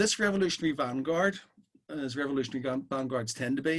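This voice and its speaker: A man with a Belfast accent speaks at a fairly high pitch, with ordinary pitch variation. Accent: Belfast Irish, sometimes a bit strong. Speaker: socialist speaker. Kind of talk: talk at an online political meeting.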